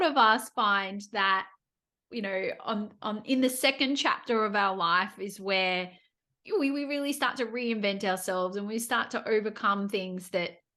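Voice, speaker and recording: A woman speaks in a fairly high pitch with ordinary pitch variation and a bright, sharp tone. Her pace is fairly slow, and the background is quiet. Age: 40s+. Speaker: podcast host. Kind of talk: podcast interview.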